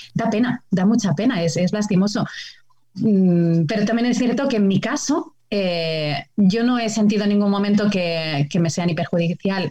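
A woman's somewhat breathy voice, dark and mellow in tone, medium in pitch, at a fairly slow pace, with very even loudness and ordinary pitch variation. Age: 30s. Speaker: biologist and TV nature show presenter. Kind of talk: casual chat.

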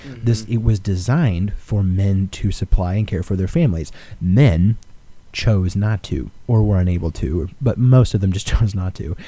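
Somewhat breathy, a man's fairly low, dark, mellow voice moves at a moderate pace with lively intonation. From Alaska. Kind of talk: casual chat.

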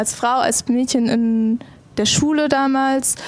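At a very slow pace, a woman with a high pitch speaks in fairly even intonation. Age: 20s. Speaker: esports pro player. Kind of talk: casual chat.

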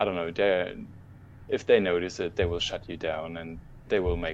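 This voice belongs to a man. It sounds very deep and low. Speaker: card trader. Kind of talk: casual group discussion.

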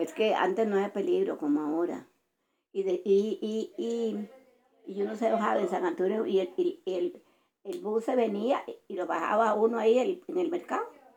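Dark, mellow tone at a moderate pace, with very wide pitch swings. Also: woman, fairly high pitch for a woman. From Costa Rica, Heredia and Montezuma. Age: 80s+. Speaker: grandmother telling life story. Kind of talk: casual chat.

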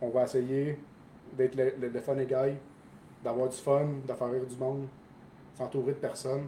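In a Quebec accent, a man speaks at a fairly high pitch. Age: 30s. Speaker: soldier. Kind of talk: casual chat.

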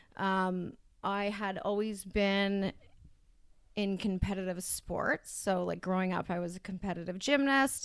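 Using an ordinary speaking voice, a woman with a Canadian accent speaks fairly slowly at a medium pitch with fairly even intonation on a very clean recording with a silent background. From Ontario, Canada (Brampton). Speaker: addiction recovery worker. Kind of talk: personal testimony in interview.

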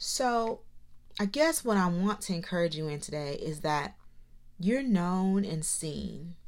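Using a normal speaking voice, a woman talks at a fairly slow pace. Her medium-pitched delivery has lively intonation. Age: 30s. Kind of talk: encouraging monologue. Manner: warm, conversational.

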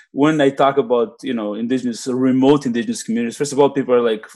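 The speaker has a non-native accent. The pace is very fast. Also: man. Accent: foreign-accented English. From immigrant to Canada. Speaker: podcast co-host. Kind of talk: casual chat.

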